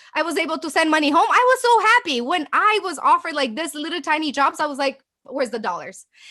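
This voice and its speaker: Raised and projected, a woman's extremely high voice races at a very fast pace in an animated tone, with very wide pitch swings and a slight Romanian accent. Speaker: agency owner. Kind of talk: interview.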